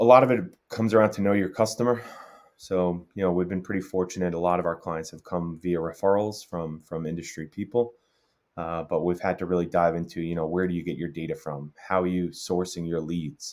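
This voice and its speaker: In a very clean recording with a silent background, a man with a New York accent speaks in a very deep, low pitch with fairly even intonation. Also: fairly quick pace. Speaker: tech startup co-founder. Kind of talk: interview.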